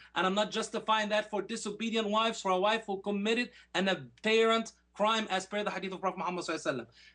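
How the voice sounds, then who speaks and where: A man's high-pitched voice is raised and projected, with a bright, sharp tone. He talks at a very fast pace. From Egypt (Alexandria). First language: Arabic. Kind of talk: formal debate rebuttal. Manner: animated.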